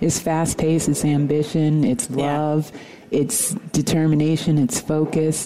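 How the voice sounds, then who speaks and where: Against noticeable background noise, a woman with an American accent speaks at a fairly slow pace in a very deep, low pitch, with very even loudness, ordinary pitch variation and hardly any pauses. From New York. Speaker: actor and filmmaker. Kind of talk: interview.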